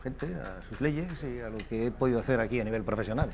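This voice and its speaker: A man speaks at a medium pitch with ordinary pitch variation. Audible room echo surrounds the recording. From France. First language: French (speaking Spanish). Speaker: political commentator on France. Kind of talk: TV interview.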